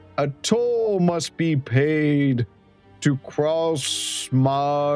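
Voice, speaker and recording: A put-on character voice at a middle pitch, with faint music in the background. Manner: pompous, grand.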